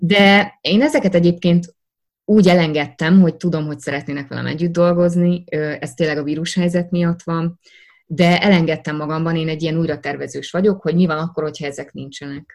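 A woman with a plain, everyday voice speaks at a fairly quick pace in a fairly low pitch with fairly even intonation. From Hungary, Szeged. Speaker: actress. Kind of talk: interview.

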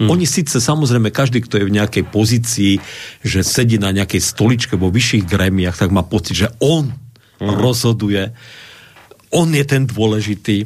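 A plain, everyday voice: a man at medium pitch, moderate pace, ordinary pitch variation and very even loudness. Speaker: Lutheran pastor. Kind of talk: radio talk show interview. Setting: radio studio.

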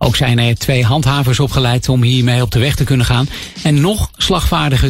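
Music in the background behind a man's moderate-paced speech. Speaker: local news reader. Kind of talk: news reading. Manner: formal, measured.

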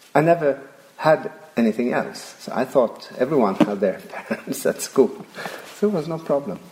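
Over noticeable background noise, a man speaks with lively intonation at a fairly high pitch. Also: moderate pace. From Sweden (Järna, near Stockholm). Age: 50s. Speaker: Waldorf teacher. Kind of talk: interview.

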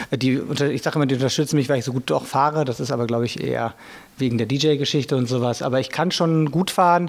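This man talks at a very fast pace, his pitch medium and its variation ordinary. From Sauerland, western Germany. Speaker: DJ and club promoter. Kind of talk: interview.

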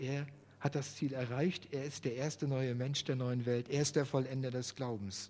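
Here is a man with an unremarkable speaking voice at medium pitch. He talks at a moderate pace with fairly even intonation. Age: 50s. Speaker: lay preacher. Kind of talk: sermon. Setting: church.

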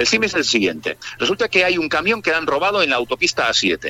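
Recorded dry and close with no echo, a man talks at a very fast pace. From Spain, Barcelona. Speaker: DJ and music producer. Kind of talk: interview. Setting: remote line.

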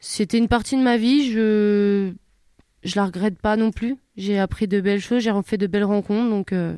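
On a very clean recording with a silent background, a woman speaks at a moderate pace with a medium pitch, a dark, mellow tone and fairly even intonation. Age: 20s. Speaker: wheelchair basketball player. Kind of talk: interview. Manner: halting.

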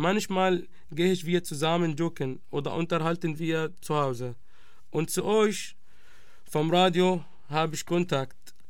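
With audible room echo, a man speaks in a high voice with fairly even intonation. His pace is fairly slow, broken by long, frequent pauses. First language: Arabic (speaking German). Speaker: refugee, radio project member. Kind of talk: testimony.

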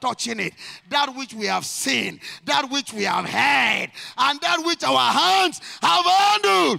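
A man's raised, projected voice with an animated tone, very wide pitch swings and a fairly slow pace, dry and close with no echo, music in the background. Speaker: pastor. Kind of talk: sermon. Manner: loud.

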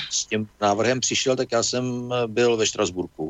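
A man talks while noticeable background noise plays underneath. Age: old. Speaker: politician, former diplomat and geologist. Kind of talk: radio interview.

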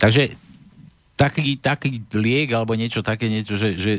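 A man talks in a normal speaking voice, fairly low in pitch, with fairly even intonation at a moderate pace. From Slovakia, Trenčín. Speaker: radio host. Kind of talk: casual talk show hosting.

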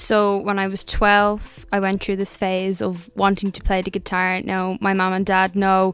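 Here a woman talks with monotone, flat intonation. She sits at a medium pitch. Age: young. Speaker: singer-songwriter. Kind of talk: interview. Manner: confident.

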